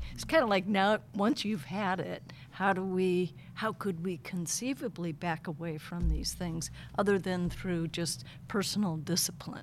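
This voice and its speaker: Speaking at a fairly slow pace, a woman uses a fairly low pitch with ordinary variation and vocal fry. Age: 60s. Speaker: retired college administrator. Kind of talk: casual chat. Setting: studio.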